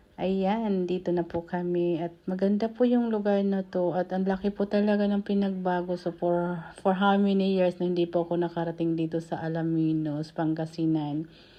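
Soft-spoken and fairly low in pitch, a woman talks at a moderate pace with hardly any pauses. Her intonation stays fairly even. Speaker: vlogger. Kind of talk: travel vlog. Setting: on a bus.

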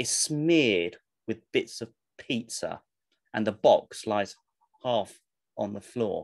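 Quiet surroundings and an unforced voice reading out loud, intonation lively.

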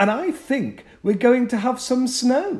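Slowish and extremely high-pitched, a man's put-on character voice moves with ordinary pitch variation. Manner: teasing, playfully devilish.

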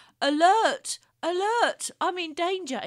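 Using a put-on character voice, a woman talks at a fairly slow pace in an extremely high pitch. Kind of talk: robotic alarm. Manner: pathetic, pleading.

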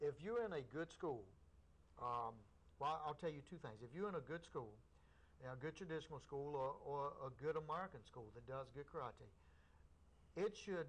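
This man has a fairly high pitch and a somewhat breathy voice. He moves at a moderate pace with ordinary pitch variation. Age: 50s. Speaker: karate instructor. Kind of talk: interview on local cable access show. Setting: TV studio. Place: studio.

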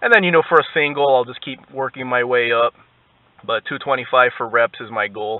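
Dry, with no echo, a man's voice moves at a fairly quick pace with ordinary pitch variation and big swings in loudness. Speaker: vlogger. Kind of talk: casual vlog chat. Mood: relaxed, motivated. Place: car. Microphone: camera far.

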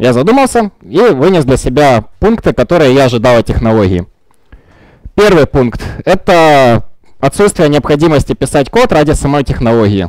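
A man's fairly high-pitched voice at a moderate pace, dry with no echo, against a quiet background. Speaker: software developer. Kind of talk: conference talk. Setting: stage with audience. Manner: halting, many fillers. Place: meeting room.

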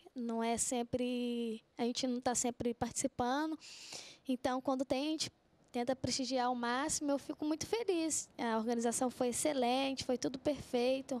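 A woman's high-pitched voice at a moderate pace, with fairly even intonation and very even loudness. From Minas Gerais, Brazil. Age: 20s. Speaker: runner; guest. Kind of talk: TV interview. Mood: happy, smiling. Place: studio. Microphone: handheld.

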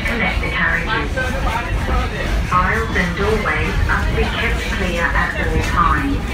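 Speech at a moderate pace comes with audible room echo and clear music in the background. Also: woman. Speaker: train safety announcer. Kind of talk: public safety announcement. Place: train.

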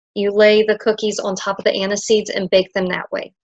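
A woman's voice against a quiet background. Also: dry sound with no echo. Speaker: presenter. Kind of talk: lecture. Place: home room. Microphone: webcam.

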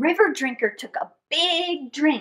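A woman's high-pitched voice, fairly bright in tone, with lively intonation at a fairly slow pace

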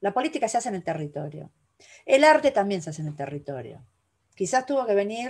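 Here a woman speaks. Her pitch swings very widely. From Argentina. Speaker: curator and university lecturer; university lecturer. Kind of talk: lecture. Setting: video call. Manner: animated. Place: home room. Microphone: webcam.

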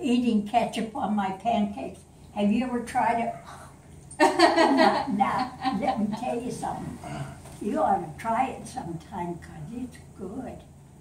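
A woman talks at a fairly slow pace with big swings in loudness, in audible room echo over light background noise. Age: 80s+. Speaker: grandmother telling a family story. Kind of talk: storytelling to family. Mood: warm, playful. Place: home room. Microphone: camera far.

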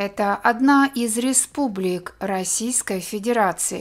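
The delivery is very slow, with lively intonation. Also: woman. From Karelia, Russia. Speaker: Russian language teacher. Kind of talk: language lesson. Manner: slow, clear.

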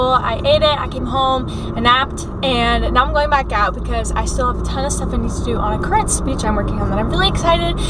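Over noticeable background noise, a woman talks at a very fast pace in a dry sound with no echo. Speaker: vlogger. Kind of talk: casual vlog chat. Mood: upbeat, a bit stressed. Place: car. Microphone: phone near.

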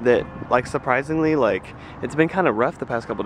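A man at a fairly quick pace, with ordinary pitch variation, a dry sound with no echo and noticeable background noise. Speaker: vlogger, college student. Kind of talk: casual vlog. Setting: walking outdoors. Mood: relieved, chatty. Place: street. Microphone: phone near.

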